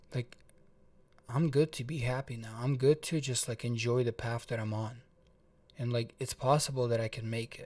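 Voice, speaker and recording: A man speaks at a medium pitch and moderate pace, somewhat breathy. His intonation is fairly even, with long, frequent pauses. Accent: slight Russian. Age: 20s. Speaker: motivational vlogger. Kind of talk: personal story vlog. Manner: casual, filler-heavy with repetitions.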